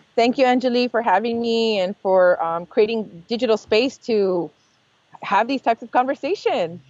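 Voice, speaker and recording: Speaking in an American accent, a woman uses a fairly high pitch and ordinary pitch variation. Her pace is moderate. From US West, East Los Angeles. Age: 40s. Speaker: food scholar and chef. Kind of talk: interview. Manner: hesitant with many fillers.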